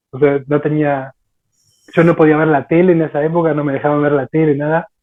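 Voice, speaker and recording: With monotone, flat intonation, a man talks at a fairly quick pace in a fairly high pitch. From Argentina. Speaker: martial arts practitioner. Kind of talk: casual chat.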